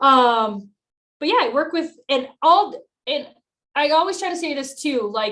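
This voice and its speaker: Loud and bright with a sharp tone, a woman speaks at a high pitch with very wide pitch swings and long, frequent pauses. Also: fairly slow pace. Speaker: financial advisor. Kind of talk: podcast interview. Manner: bubbly.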